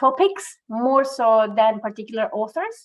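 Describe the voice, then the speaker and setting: A woman's high voice with lively intonation, in a Venezuelan accent. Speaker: migrant women's employment advocate. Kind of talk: podcast interview.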